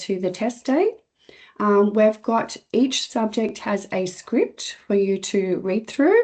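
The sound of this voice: A woman speaks at medium pitch with a dark, mellow tone and lively intonation.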